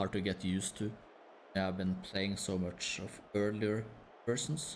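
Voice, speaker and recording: The man's voice sits fairly low in pitch with a monotone, flat intonation. Audible room echo surrounds it. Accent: Norwegian. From Norway. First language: Norwegian. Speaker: gaming streamer. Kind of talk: casual live-stream chat. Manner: low energy, relaxed.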